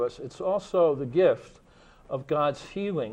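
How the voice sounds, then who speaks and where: It's an ordinary speaking voice from a man with a fairly high pitch. His pitch variation is ordinary. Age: 60s. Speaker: faith leader. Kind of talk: panel discussion.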